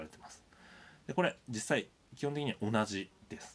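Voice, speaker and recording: Ordinary pitch variation in a male voice. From Japan, Sendai, Miyagi. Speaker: university lecturer. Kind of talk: recorded lecture. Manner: many hesitation fillers.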